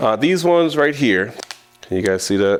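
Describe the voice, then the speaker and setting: The voice is animated, with very wide pitch swings. Noticeable background noise runs underneath. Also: man. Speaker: bass fishing angler, tackle tutorial host. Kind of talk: tutorial. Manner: fast; casual, animated.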